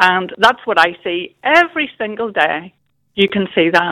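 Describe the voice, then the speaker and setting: A woman with a Northern Irish accent at a medium pitch. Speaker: caller. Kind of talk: phone-in call.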